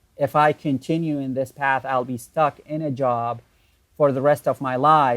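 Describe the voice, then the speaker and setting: In an Arabic accent, a man speaks at a medium pitch and moderate pace with monotone, flat intonation, the sound dry and close with no echo on a very clean recording with a silent background. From Iraq, Baghdad. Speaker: online entrepreneur. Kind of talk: interview.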